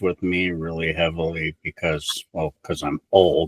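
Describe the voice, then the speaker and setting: In a dry, close sound with no echo, a man speaks at a fairly slow pace. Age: 60s. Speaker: podcast host. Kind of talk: casual interview chat.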